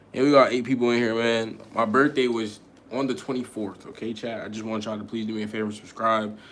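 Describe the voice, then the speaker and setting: Amid audible room echo, a man speaks at a very fast pace with a medium pitch and monotone, flat intonation. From Connecticut, US. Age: 20s. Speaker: podcaster / live streamer. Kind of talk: casual live stream chat. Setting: live stream. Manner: casual, rambling.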